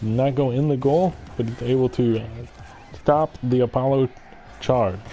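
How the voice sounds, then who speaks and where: Music plays in the background while a man talks with ordinary pitch variation. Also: medium pitch for a man, moderate pace. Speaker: game commentator. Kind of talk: live commentary. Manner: animated.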